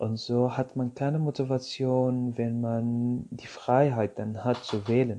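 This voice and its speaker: With an Arabic accent, a man talks at a very slow pace and medium pitch, with fairly even intonation and hardly any pauses. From Syria. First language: Arabic (speaking German). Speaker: podcast host, social worker. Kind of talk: casual monologue.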